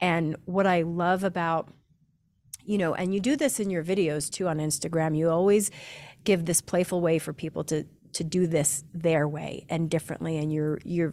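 Very clean and free of background sound, the recording holds a woman with a plain, everyday voice. Her pitch is fairly low with ordinary variation, and her pace is moderate. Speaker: podcast host. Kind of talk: casual interview conversation.

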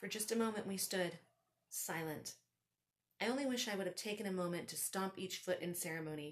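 The woman speaks at medium pitch with ordinary pitch variation. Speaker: podcast host and author. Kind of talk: storytelling. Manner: comedic.

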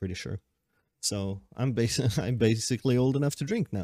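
On a very clean recording with a silent background and a dry, close sound with no echo, a man with a Swedish accent talks at a moderate pace. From Sweden. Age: 20s. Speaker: podcaster. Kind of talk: casual monologue. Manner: rambling, hesitant with fillers.

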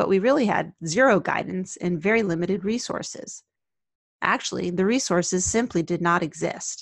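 Spoken in an American accent, this ordinary speaking voice keeps a moderate pace with ordinary pitch variation. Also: woman. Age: 50s. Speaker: occupational therapist and podcast host. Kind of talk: scripted narration.

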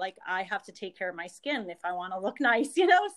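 The speaker is a woman. Her voice has a bright, sharp tone. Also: very clean recording, silent background. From Northeast Pennsylvania. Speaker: pharmacist and direct sales leader. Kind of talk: casual interview chat.

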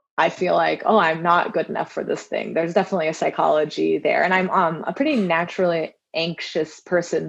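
Talking at a very fast pace, a woman with an American accent has a fairly low pitch and vocal fry. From Southern California. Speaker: climate scientist. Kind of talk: casual chat.

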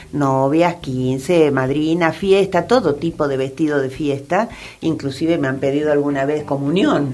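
A woman talks at a fairly slow pace in a very deep, low voice. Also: ordinary pitch variation. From Argentina, raised mostly in Buenos Aires. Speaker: fashion designer. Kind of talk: radio interview. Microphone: too far from the mic at first.

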